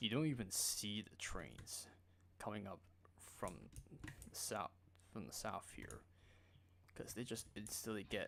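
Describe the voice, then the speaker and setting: A quiet man's voice. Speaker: gaming streamer. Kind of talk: live gameplay commentary. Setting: live stream. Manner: casual.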